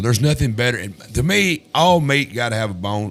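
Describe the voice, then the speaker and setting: Music plays in the background as a man speaks with a Tennessee accent. His pitch swings very widely. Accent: Southern US (Tennessee). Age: 60s. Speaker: talk show host. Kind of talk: casual interview chat. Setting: studio. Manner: halting, repetitive.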